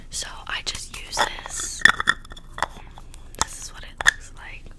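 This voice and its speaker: The speaker whispers, soft-spoken. The pace is very slow. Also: woman. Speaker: beauty ASMR creator. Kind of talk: soft-spoken makeup chat. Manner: soft close-mic ASMR whisper. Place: home room. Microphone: studio mic.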